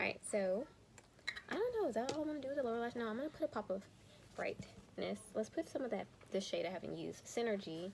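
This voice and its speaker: Ordinary pitch variation shapes a woman's speech. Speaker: teacher and beauty youtuber. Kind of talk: casual chat. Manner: quiet, soft-spoken.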